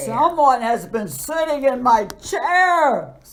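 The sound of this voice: A put-on character voice, female-sounding, gruff and raspy, high in pitch and very slow in pace.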